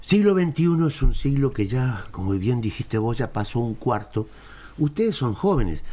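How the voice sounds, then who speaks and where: At a moderate pace, a man speaks in a medium-pitched, dark, mellow voice that is somewhat breathy. His pitch swings very widely. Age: 70s. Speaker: historian. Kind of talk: interview.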